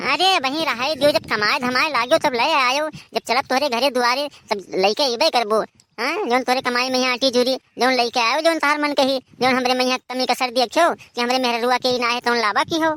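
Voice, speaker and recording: A woman puts on a cartoonish character voice, pitched high with ordinary pitch variation, at a fairly quick pace. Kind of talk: comic overacting.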